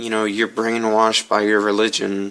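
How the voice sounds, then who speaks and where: Fairly even intonation accompanies a bright, sharp tone. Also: man. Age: young. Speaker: transgender vlogger. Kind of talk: casual talk to camera. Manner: hesitant.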